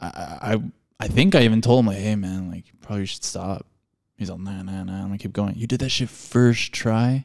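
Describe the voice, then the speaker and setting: A man with an unremarkable speaking voice, fairly low pitch, ordinary pitch variation, moderate pace and big swings in loudness. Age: 30s. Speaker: podcast host, screen printer and artist. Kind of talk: casual chat.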